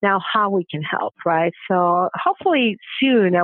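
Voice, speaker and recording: In a strong Venezuelan accent, a woman speaks at a fairly low pitch. She keeps a moderate pace. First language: Spanish. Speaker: banking diversity leader. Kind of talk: podcast interview. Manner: halting, many fillers.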